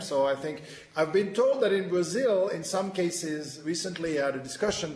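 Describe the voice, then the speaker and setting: With a French accent, a man talks at a fairly quick pace in a high voice with ordinary pitch variation, amid noticeable background noise and audible room echo. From France. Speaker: webinar moderator, financial reporting specialist. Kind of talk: panel discussion. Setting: webinar video conference. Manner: halting, many fillers.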